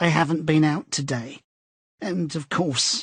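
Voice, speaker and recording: A raspy, put-on character voice at a fairly slow pace, with ordinary pitch variation. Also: man, fairly high pitch for a man. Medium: read story. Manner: vague, breaks off sentences mid-way.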